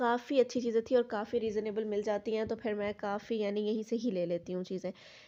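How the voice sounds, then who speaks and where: Moving along at a moderate speed, this voice carries a dark, mellow tone and intonation that stays fairly even. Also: woman, fairly high pitch for a woman. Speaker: vlogger. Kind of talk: casual vlog narration.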